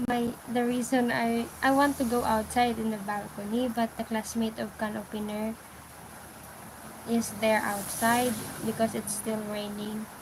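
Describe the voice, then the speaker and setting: There is noticeable background noise as a woman speaks. Her pace is fairly slow and her intonation monotone and flat. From Philippines, Iloilo (Ilonggo). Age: 20s. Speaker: live streamer. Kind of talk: casual livestream chat. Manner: halting, hesitant English.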